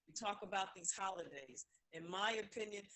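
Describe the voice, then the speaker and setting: In an American accent, a woman with an unremarkable speaking voice moves at a moderate pace with fairly even intonation. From New York. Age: 60s. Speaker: caller. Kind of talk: call-in discussion. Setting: phone call.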